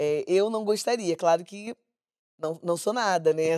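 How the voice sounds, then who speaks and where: Dark, mellow tone with fairly even intonation at a fairly slow pace, dry and close with no echo, on a very clean recording with a silent background. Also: woman. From Baixada Fluminense, Rio de Janeiro state. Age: 50s. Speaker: samba school flag bearer. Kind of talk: casual chat.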